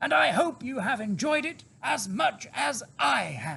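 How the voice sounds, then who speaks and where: A man's put-on character voice, high-pitched, confident and warm in tone, at a fairly slow pace. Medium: read story. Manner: confident, warm.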